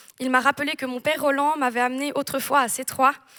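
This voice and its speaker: At a fairly quick pace, a woman uses a raised, projected voice that is high-pitched with a bright, sharp tone, in a dry, close sound with no echo on a very clean recording with a silent background. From French-speaking Switzerland and southern France. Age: 20s. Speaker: church member giving baptism testimony. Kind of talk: testimony. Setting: church service with audience.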